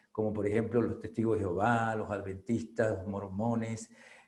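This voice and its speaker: A man talks with a dark, mellow tone and a fairly low pitch, his intonation monotone and flat. Audible echo fills the room. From Venezuela. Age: 60s. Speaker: spiritual reader and author. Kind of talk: testimony. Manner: halting, many fillers.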